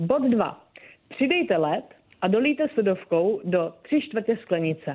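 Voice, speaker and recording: A woman of medium pitch at a fairly slow pace, with very wide pitch swings and very even loudness. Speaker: bartender. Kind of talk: casual interview. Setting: phone call.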